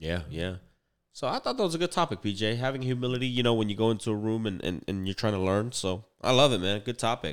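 In a very clean recording with a silent background, a man of medium pitch talks very fast with lively intonation. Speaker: business podcast host, real estate broker. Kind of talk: podcast outro call to action; casual chat. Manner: casual, slangy.

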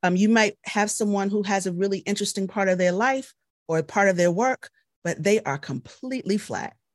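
With an American accent and an ordinary speaking voice, a woman talks fairly quickly at a medium pitch in a very clean recording with a silent background and a dry, close sound with no echo. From Baltimore, US. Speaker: military veteran and journalist. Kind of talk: interview.

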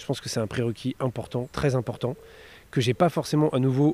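The sound is dry and close with no echo as a man speaks at a fairly quick pace. His medium-pitched voice has a dark, mellow tone and fairly even intonation. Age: 40s. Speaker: marketing director. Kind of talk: interview. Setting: outdoors on a park bench. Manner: hesitant, many fillers.

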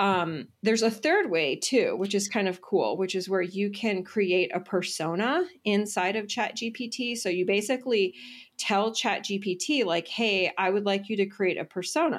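A woman's plain, everyday voice at a medium pitch, fairly slow yet with hardly any pauses, ordinary pitch variation, in a very clean recording with a silent background. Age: 40s. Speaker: entrepreneur and business mentor. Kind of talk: interview.

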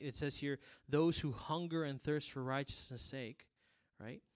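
Against a quiet background, a man with a South Texas accent speaks at a moderate pace in an animated tone with a fairly high pitch. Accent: South Texas Mexican-American English. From Rio Grande Valley, Texas. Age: 20s. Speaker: preacher. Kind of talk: sermon.

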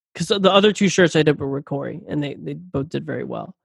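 Speaking with an American accent, a man uses a fairly high pitch, ordinary pitch variation, some vocal fry and a fairly quick pace. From Philadelphia. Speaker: musician. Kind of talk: casual chat.

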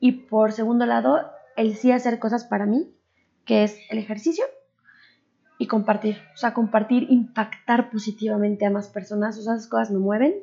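A woman talks at a moderate pace in a fairly high, somewhat breathy voice with a dark, mellow tone and ordinary pitch variation. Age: 30s. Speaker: entrepreneur and mother. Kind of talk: interview.

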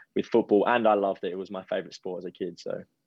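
A man with an Australian accent speaks at a fairly quick pace in a very deep, low voice. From Adelaide, South Australia. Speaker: professional footballer. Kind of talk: interview.

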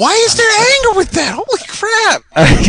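A man's put-on character voice at an extremely high pitch, delivered at a fairly slow pace. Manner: angry, exaggerated.

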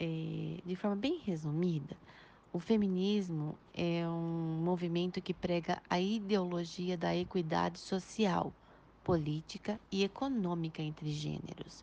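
A woman's fairly low voice, dark and mellow in tone, with fairly even intonation and a fairly slow pace. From Pederneiras, interior of São Paulo state, Brazil. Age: 40s. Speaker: history teacher. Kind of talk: interview answers. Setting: WhatsApp voice recording. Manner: formal.

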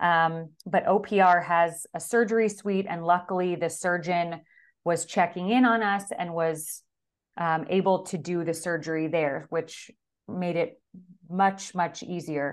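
Against a quiet background, a woman speaks with fairly low pitch and fairly even intonation. She has an unremarkable speaking voice and keeps a fairly slow pace. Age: 30s. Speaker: stay-at-home mother. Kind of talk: casual interview.

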